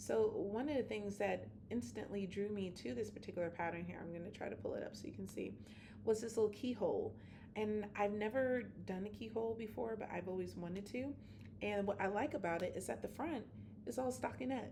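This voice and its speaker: Fairly quick speech with audible room echo. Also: woman. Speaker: knitting vlogger. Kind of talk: casual chat. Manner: halting, many fillers.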